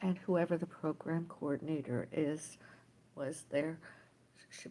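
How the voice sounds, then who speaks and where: In a very deep, low pitch, a woman talks at a fairly slow pace with vocal fry, a dark, mellow tone and fairly even intonation. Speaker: livestreamer. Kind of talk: casual livestream monologue. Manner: rambling, halting.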